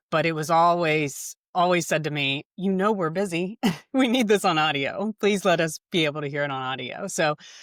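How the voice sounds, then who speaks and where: Speaking at a moderate pace with an American accent, a woman uses lively intonation on a very deep, low pitch, heard as a dry, close sound with no echo on a very clean recording with a silent background. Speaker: home care business owner. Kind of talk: interview podcast.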